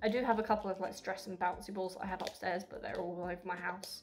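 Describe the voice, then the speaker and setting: Music plays behind a woman speaking at a very fast pace. Her pitch is medium and her intonation fairly even. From Essex, England. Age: 20s. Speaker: university student. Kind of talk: casual talk to camera.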